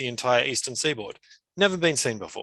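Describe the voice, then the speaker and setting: With an Australian accent, a man speaks at a medium pitch in a bright, sharp tone. The background is quiet. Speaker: climate adaptation expert, conference presenter. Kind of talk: conference presentation. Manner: frequent fillers and repetitions.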